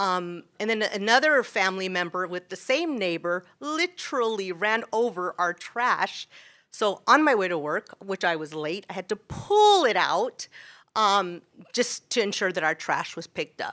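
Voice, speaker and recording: Loud and bright, sharp in tone, a woman speaks at a fairly slow pace with a medium pitch and lively intonation. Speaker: school teacher speaking at public comment. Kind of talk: public comment at a city council meeting. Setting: council chambers. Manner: hesitant, many fillers.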